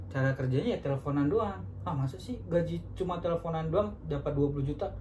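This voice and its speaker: The speech moves at a very fast pace, with noticeable background noise. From North Sumatra, Medan. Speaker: insurance telemarketer. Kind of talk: casual podcast chat.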